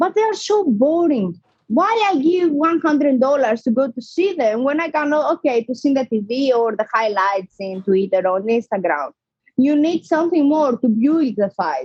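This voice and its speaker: A woman with a non-native accent speaks at a high pitch and a moderate pace, her pitch swinging very widely. The sound is dry and close, with no echo. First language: not English. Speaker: professional boxer. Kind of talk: interview. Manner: animated.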